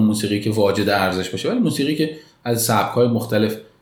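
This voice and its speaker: With audible room echo, a man talks at a very fast pace in a somewhat breathy, medium-pitched voice. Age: 30s. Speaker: architect. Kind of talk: interview.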